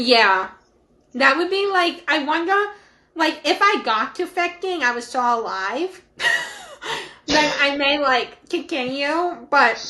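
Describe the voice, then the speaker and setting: Using a raised, projected voice, a woman with a high pitch and a bright, sharp tone speaks at a fairly slow pace with lively intonation and long, frequent pauses. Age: young. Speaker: podcast co-host. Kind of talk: casual chat.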